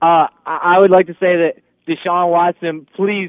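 Speaking at a moderate pace, a man with a fairly high pitch has a plain, everyday voice. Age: 20s. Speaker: caller, football fan. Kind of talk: call-in. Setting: phone call.

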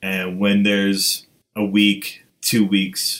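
The man's voice has a low pitch. Its tone is fairly bright.

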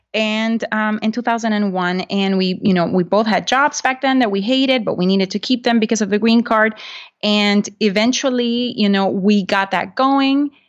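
Speaking against a quiet background, a woman with a Spanish accent has a fairly high pitch, fairly even intonation and very even loudness. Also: moderate pace. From Honduras. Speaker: real estate investor and podcaster. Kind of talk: interview.

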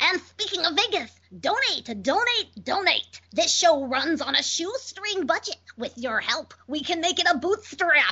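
The voice is an exaggerated put-on character, delivered fairly slowly. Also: woman, extremely high pitch for a woman. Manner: podcast donation pitch.

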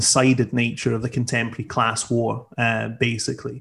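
A man at medium pitch with a Scottish accent, in a very clean recording with a silent background. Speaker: socialist activist. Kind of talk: political discussion.

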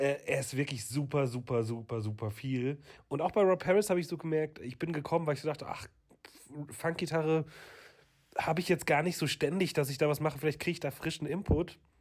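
A somewhat breathy, fairly high male voice at a fairly quick pace, on a very clean recording with a silent background. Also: ordinary pitch variation. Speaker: guitarist and podcast co-host. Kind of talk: casual chat.

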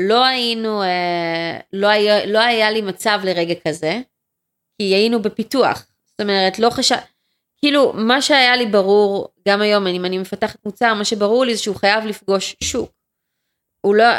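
Medium pitch from a woman with a normal speaking voice, ordinary pitch variation and a moderate pace, in a very clean recording with a silent background. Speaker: entrepreneur. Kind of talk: interview.

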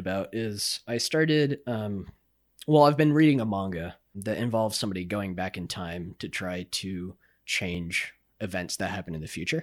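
This man's pitch swings very widely at a moderate pace, recorded very cleanly against a silent background. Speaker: gaming podcast co-host. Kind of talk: casual chat. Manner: soft-spoken.

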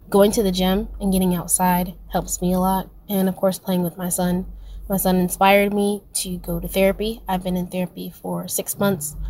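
Somewhat breathy and dark, mellow in tone, a woman's medium-pitched voice moves at a moderate pace with monotone, flat intonation. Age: 20s. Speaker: listener leaving voice memo. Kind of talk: voice memo testimony. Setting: recorded voice memo.

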